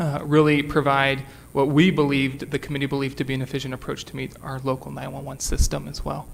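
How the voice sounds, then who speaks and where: Talking at a very fast pace, a man with a fairly high pitch keeps a monotone, flat intonation amid noticeable background noise. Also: big swings in loudness. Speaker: city staff presenter. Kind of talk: council committee presentation. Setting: council meeting with microphone. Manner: loud.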